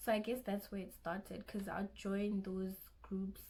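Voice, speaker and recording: The speaker has a South African accent. The intonation is monotone and flat. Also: woman. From South Africa, Limpopo (Giyani). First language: Xitsonga. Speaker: YouTuber, university student. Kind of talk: casual vlog Q&A. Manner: halting, self-correcting.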